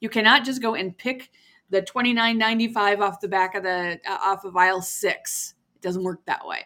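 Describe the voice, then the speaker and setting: Bright and sharp in tone, a woman at medium pitch speaks at a moderate pace with fairly even intonation. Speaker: podcast host. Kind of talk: casual chat.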